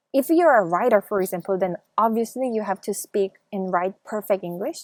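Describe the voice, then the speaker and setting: In a Korean accent, a woman of medium pitch speaks at a moderate pace with lively intonation, the sound dry and close with no echo. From South Korea. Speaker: YouTuber. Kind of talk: interview.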